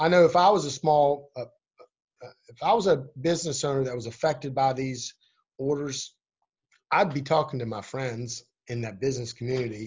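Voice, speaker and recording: This man has a fairly high pitch and a somewhat breathy voice, speaking at a fairly quick pace. His loudness swings widely, and he leaves long, frequent pauses. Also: ordinary pitch variation. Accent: American. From West Virginia, Eastern Panhandle. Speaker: political candidate. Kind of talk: interview. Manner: halting.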